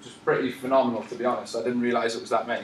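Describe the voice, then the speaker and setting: Audible room echo and noticeable background noise surround the recording. A man with a Newcastle accent talks at a very fast pace. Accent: Newcastle (Geordie), noticeable. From northern England, Newcastle. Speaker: personal trainer. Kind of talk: live presentation. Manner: fast when excited; animated.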